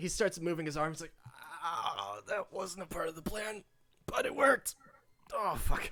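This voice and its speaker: A woman does a put-on character voice, raspy and medium in pitch. She speaks at a moderate pace with long, frequent pauses. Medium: actual play. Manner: gruff bravado.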